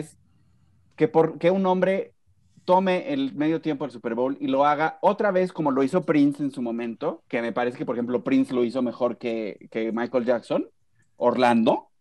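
A man with a Mexican accent speaks at a moderate pace. His fairly high pitch rises and falls with lively intonation. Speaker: podcast host. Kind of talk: casual chat.

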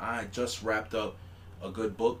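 A man's somewhat breathy voice carries audible room echo. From New York City. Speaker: podcast co-host. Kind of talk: casual chat.

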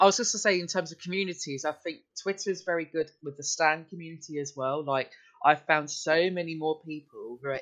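With an English accent, a man talks at a fairly quick pace, his loudness rising and falling in big swings. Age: 20s. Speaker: podcast guest. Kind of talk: casual chat.

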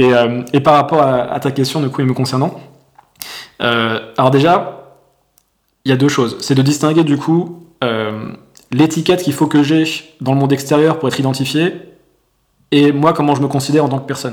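This man has a fairly high pitch and fairly even intonation. He talks at a moderate pace with long, frequent pauses. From France. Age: 30s. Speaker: entrepreneur and coach. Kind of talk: casual interview. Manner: halting, many fillers.

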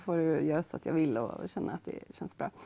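Fairly quick in pace, a woman uses an ordinary speaking voice with ordinary pitch variation. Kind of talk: interview chat.

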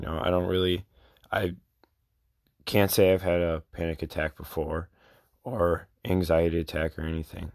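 Very deep and low in pitch, a man speaks at a moderate pace in a monotone, flat intonation with long, frequent pauses. The recording is very clean with a silent background and a dry, close sound with no echo. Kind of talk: casual advice talk. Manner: casual, conversational.

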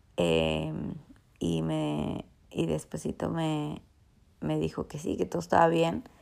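A woman speaks in a very deep, low pitch with monotone, flat intonation. Her pace is very slow, with long, frequent pauses. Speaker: travel vlogger on pilgrimage. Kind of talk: vlog monologue. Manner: halting, many fillers.

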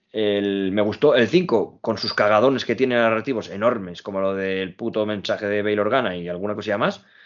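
Speaking fairly quickly with hardly any pauses, a man has a fairly low pitch. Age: 20s. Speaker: podcast host. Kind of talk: casual chat. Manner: animated.

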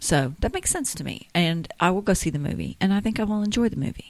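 With vocal fry and lively intonation, a woman speaks at a fairly quick pace. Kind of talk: casual chat.

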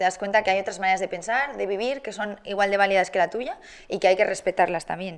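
A woman in a normal speaking voice, medium pitch, fairly even intonation, and a fairly quick pace, in a very clean recording with a silent background. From Spain, Barcelona and Madrid. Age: 20s. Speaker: TV presenter and content creator. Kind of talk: casual interview.

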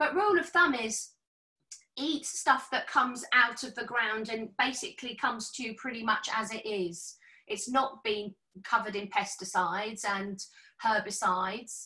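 A normal speaking voice from a woman, fairly high-pitched, moderate in pace, with ordinary pitch variation. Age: 50s. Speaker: health and fitness professional. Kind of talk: casual chat.

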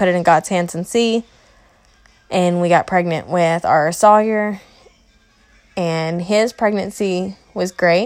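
The speaker talks with a Kentucky accent. Intonation stays fairly even. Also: woman. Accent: Southern US (Kentucky). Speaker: mother and home daycare provider podcaster. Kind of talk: casual personal monologue. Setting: at home, sitting in a recliner in the playroom.

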